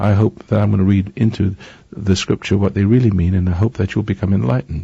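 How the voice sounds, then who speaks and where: A man with an English accent talks very fast in a fairly low pitch, his dark, mellow tone somewhat breathy and his pitch variation ordinary. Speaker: radio preacher. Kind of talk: sermon. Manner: halting.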